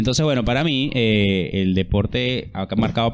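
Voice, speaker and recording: Speaking at a moderate pace, a man with an unremarkable speaking voice holds a medium pitch. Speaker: podcast co-host. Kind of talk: casual chat.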